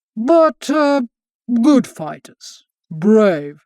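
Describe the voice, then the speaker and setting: Using a put-on character voice with very wide pitch swings, a man is heard in a dry, close sound with no echo on a very clean recording with a silent background. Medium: read story. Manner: blunt, coarse.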